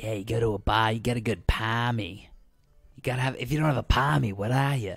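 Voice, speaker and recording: A man's put-on character voice in an Australian accent, medium in pitch and very fast in pace. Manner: mock, exaggerated.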